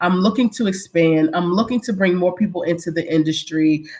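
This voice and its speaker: A woman talks at a medium pitch with ordinary pitch variation. Her voice is somewhat breathy. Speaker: small business owner giving a live webinar. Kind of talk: live online workshop.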